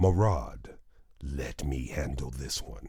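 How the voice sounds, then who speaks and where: Someone uses a put-on character voice and talks at a fairly slow pace. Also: man, very deep, low pitch for a man. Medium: read story. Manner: scornful, mocking.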